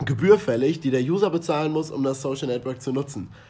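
Somewhat breathy and dark, mellow in tone, a man's voice moves with ordinary pitch variation. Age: 20s. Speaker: marketing podcast co-host, student. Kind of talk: scripted podcast discussion.

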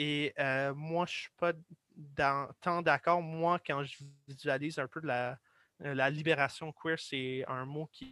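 This voice has a bright, sharp tone and fairly even intonation at a very slow pace, with a dry, close sound with no echo on a very clean recording with a silent background. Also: man. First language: English (speaking French). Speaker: guest explainer. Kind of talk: casual explanatory discussion. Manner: halting.

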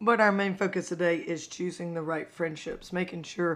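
A woman speaks with a fairly low pitch. Her intonation is flat and monotone. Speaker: faith podcast host for teens. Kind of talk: casual devotional talk. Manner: casual, conversational.

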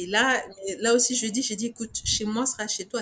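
At a fairly quick pace, a woman talks in a normal speaking voice with a fairly high pitch. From Niger. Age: 40s. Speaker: fashion designer and business owner. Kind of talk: interview.

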